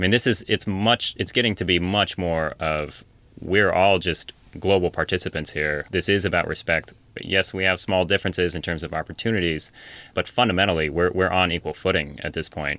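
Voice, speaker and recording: A man with an American accent speaks at a fairly quick pace in a very deep, low pitch, his tone bright and sharp and his intonation fairly even, on a very clean recording with a silent background. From US Pacific Northwest, central Washington. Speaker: physician and humanitarian worker. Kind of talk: interview.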